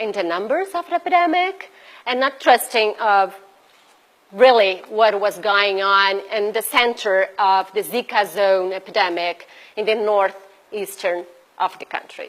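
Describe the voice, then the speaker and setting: A woman with a Brazilian Portuguese accent speaks at a fairly slow pace and a fairly high pitch. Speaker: bioethics researcher and activist. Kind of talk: conference presentation. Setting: event audience at embassy. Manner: unscripted, halting.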